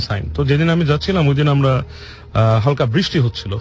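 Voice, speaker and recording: A man with an unremarkable speaking voice. His pitch sits fairly high. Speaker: guest telling a personal haunted-place experience. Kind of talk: casual conversational storytelling, interview answer.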